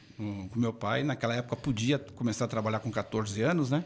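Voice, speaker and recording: This is a man with an unremarkable speaking voice. His pitch is medium and varies in an ordinary way. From São Paulo, Brazil. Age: 60s. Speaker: book distribution executive. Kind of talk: interview.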